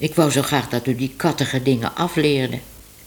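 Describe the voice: With fairly even intonation, the clip is plain reading aloud.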